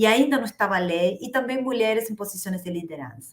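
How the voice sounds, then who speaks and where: A woman's medium-pitched voice with an Argentine accent. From Argentina. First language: Spanish (speaking Portuguese). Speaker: HR executive. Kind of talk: interview. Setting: at home, remote call. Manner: hesitant, repeats words.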